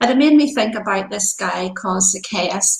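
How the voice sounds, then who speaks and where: A woman in a Northern Irish accent at a moderate pace. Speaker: pastor. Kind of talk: devotional talk.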